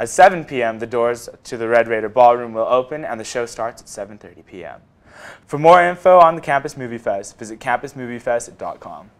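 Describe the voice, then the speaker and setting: Speaking at a moderate pace and a medium pitch, a man with an ordinary speaking voice shows ordinary pitch variation and big swings in loudness. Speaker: news anchor. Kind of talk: studio newscast read from a script. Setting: studio. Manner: clear, steady and formal, newsreader style.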